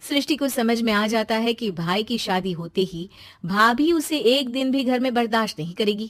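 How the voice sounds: At a moderate pace, a woman speaks in a fairly high pitch with ordinary pitch variation.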